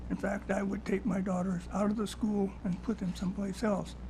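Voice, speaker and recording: Noticeable background noise runs behind a man talking at a high pitch. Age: 80s+. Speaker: public testifier at legislative hearing. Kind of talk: public testimony.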